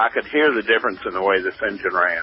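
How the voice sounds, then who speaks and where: A man with noticeable background noise. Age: 70s. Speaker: radio caller. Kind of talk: phone-in question.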